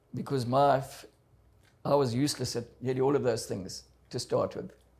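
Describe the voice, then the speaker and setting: This man talks at a medium pitch. Vocal fry runs through his voice. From South Africa. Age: 70s. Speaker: adventurer and motivational speaker. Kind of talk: interview testimony.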